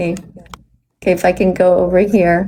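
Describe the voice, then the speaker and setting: A woman speaks in an animated tone. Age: 60s. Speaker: vegan activist livestreamer. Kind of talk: live stream chat with caller. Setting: hotel room.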